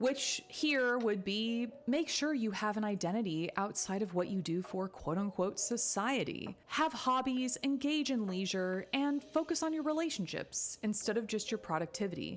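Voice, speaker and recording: An ordinary speaking voice keeps a moderate pace with hardly any pauses. Its loudness stays very even. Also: woman, fairly high pitch for a woman. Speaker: therapist. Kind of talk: casual commentary to camera.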